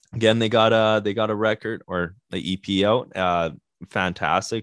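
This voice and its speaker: A man with a Canadian accent and an unremarkable speaking voice, fairly low pitch, fairly even intonation. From Canada, Winnipeg. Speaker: band guitarist. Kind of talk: casual chat.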